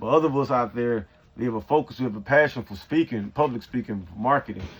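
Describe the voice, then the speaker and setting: Talking at a very fast pace, a man with a Southern US accent uses a medium pitch and ordinary pitch variation. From Georgia, US South. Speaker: software developer and coding coach. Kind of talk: casual vlog monologue. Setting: in an RV.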